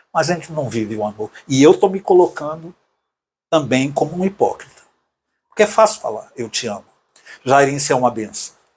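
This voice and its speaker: The speaker's lively intonation, fairly quick pace and somewhat breathy voice are broken up by long, frequent pauses. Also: man, fairly high pitch for a man. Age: 60s. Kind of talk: casual conversation.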